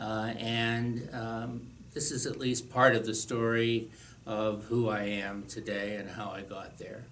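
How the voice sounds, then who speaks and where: Audible room echo surrounds a man speaking at a very slow pace in a medium pitch with monotone, flat intonation. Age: 70s. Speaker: retired teacher sharing life story. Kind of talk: personal testimony. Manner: hesitant, many fillers.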